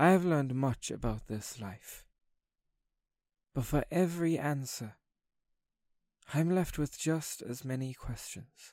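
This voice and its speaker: A man with a fairly high pitch talks at a fairly slow pace, leaving long, frequent pauses, with ordinary pitch variation. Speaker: spoken word poet. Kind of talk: poetry reading. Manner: tender, slow.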